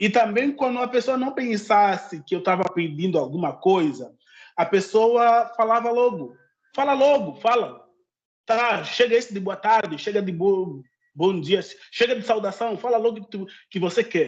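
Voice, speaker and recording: A man speaks in a high voice at a moderate pace. His intonation is lively, and the background is quiet. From Angola. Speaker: social media creator on Africa. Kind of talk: interview conversation. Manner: halting.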